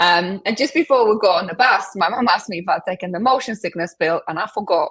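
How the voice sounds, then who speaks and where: A woman talks at a medium pitch and a fairly quick pace. Her intonation is lively. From Poland. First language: Polish. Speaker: transformation coach. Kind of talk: interview.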